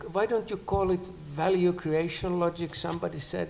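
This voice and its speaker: A man with a high pitch talks at a moderate pace. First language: not English (third language). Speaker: academic panelist. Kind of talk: panel discussion. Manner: halting, many repetitions.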